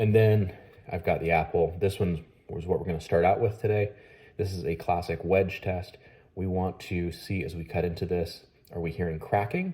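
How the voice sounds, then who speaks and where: Somewhat breathy and dark, mellow in tone, a man with a very deep, low pitch talks at a moderate pace. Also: fairly even intonation. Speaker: knife reviewer. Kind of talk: product review tutorial.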